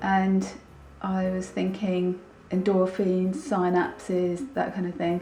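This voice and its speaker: A woman talks at a fairly slow pace in a medium pitch. Audible room echo is present. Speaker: vlogger. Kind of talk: casual vlog. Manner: subdued.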